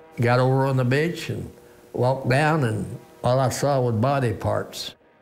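Delivery comes at a moderate pace with very even loudness and fairly even intonation. Music runs in the background. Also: man, medium pitch for a man. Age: 80s+. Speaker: war veteran. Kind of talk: interview.

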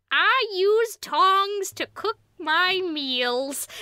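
Heard in a dry, close recording with no echo, a put-on character voice rises and falls with lively intonation. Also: woman, extremely high pitch for a woman.

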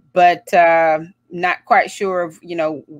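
The speech moves at a very slow pace in a monotone, flat intonation. The sound is dry with no echo, and the background is quiet. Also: woman. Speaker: show host. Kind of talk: casual livestream host intro. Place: home room. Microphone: earbuds.

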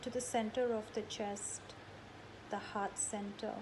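Woman with a calm, soothing tone, fairly high pitch, monotone and flat intonation, and a fairly slow pace, over noticeable background noise. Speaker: yoga teacher leading meditation. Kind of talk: guided meditation. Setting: video call. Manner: slow, calm, soothing with long pauses; gentle, instructive. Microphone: video call.

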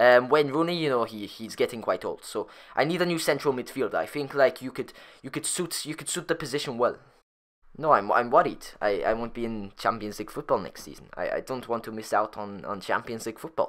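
With a medium pitch and ordinary pitch variation, a man talks at a fairly quick pace, his loudness swinging widely, on a very clean recording with a silent background. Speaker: gaming YouTuber ranting about football. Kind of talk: angry rant. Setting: solo YouTube video, recorded voiceover. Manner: indignant, sarcastic, incredulous; emphatic, repeating the big numbers.

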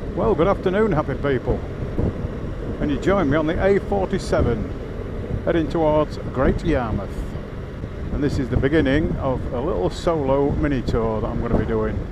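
Against loud background noise, a man speaks at a moderate pace in a dry sound with no echo. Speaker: motorcycle vlogger. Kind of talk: casual vlog chat. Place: motorbike.

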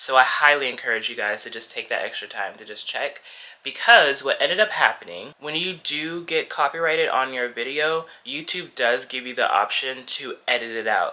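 A fairly high, bright, sharp male voice with an American accent, lively intonation, big swings in loudness, a moderate pace, and hardly any pauses. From US South, Georgia. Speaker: lifestyle vlogger. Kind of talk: vlog. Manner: casual, animated. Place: home room. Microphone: phone near.

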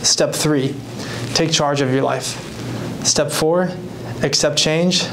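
A man with an American accent and a fairly high pitch, speaking at a very slow pace over noticeable background noise. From US Pacific Northwest, Whatcom County, Washington. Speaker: mental health speaker and author. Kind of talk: motivational talk. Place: meeting room.

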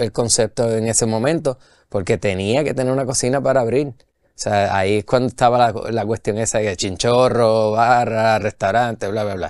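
A man speaks at a moderate pace with a medium pitch. His pitch varies in an ordinary way against a quiet background. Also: dry sound with no echo. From Puerto Rico. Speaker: brewery owner and brewer; guest. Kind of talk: casual interview chat. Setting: studio. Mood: relaxed, friendly storytelling. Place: studio.

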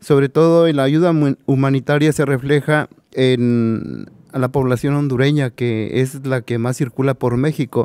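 A man speaks at a fairly slow pace in a dark, mellow tone with fairly even intonation and very even loudness. The sound is dry with no echo, over a quiet background. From Mexico. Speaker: migrant rights activist. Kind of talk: panel discussion. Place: hall. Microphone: podium.

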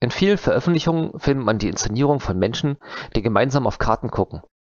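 A man speaks at a very fast pace with vocal fry. The sound is dry with no echo, and the background is quiet. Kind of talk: conference talk. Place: home room. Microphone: headset.

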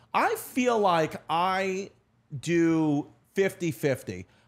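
This man speaks with a New York accent and lively intonation. His tone is animated, and the background stays quiet. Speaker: comedian and podcast host; comedian, podcast host. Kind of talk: casual chat. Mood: animated, storytelling. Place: studio. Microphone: studio mic.

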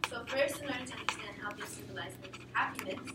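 Loud background noise fills the recording. A woman is speaking. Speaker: presenter. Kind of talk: class presentation. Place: classroom. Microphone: camera far.

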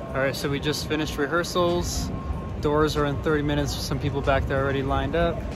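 A man speaks over background music, and the sound is dry with no echo. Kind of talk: casual vlog chat. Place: street. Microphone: phone near.

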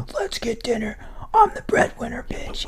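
A woman whispers in a raspy, put-on character voice at a moderate pace. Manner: macho, swaggering.

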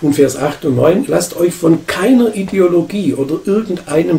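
This is a man speaking at a fairly high pitch. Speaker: pastor. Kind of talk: sermon. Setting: church. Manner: emphatic, forceful preaching.

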